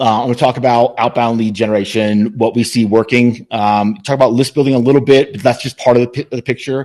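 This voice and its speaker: A man at a medium pitch, very fast pace and fairly even intonation. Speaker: sales leader and conference speaker. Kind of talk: webinar presentation. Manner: filler-heavy, repeats words.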